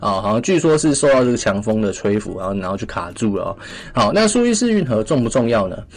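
Talking at a very fast pace, a man uses a medium pitch with lively intonation. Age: 20s. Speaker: finance podcast host. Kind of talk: casual finance commentary. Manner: many filler particles.

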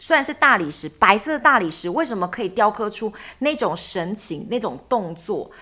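A woman speaks at a moderate pace in a fairly high voice with very wide pitch swings. Her tone is bright and sharp, and the recording is very clean with a silent background. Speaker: travel podcast co-host. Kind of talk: casual chat.

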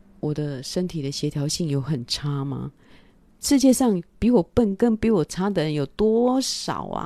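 A woman's animated voice in a Taiwanese accent, with very wide pitch swings. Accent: Taiwanese Mandarin. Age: 50s. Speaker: podcast host. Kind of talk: casual monologue livestream. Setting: livestream on camera. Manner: animated, frequent laughter.

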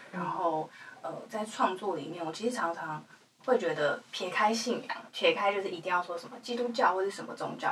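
Intonation is lively as a woman speaks at medium pitch. Her pace is fairly quick. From Taiwan, Hualien. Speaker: singer-songwriter. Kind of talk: casual chat. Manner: halting with many fillers.

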